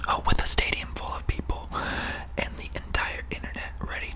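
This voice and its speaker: A calm whispering voice comes through over noticeable background noise. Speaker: ASMR content creator. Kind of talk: ASMR whispered fact-reading for sleep. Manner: whispered, calm, relaxing.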